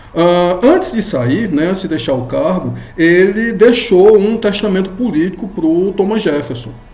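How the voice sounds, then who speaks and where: With music playing in the background and audible room echo, a man talks at a fairly slow pace in a high pitch with lively intonation. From Brazilian Northeast. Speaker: law professor. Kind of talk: lecture. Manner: casual, with frequent fillers.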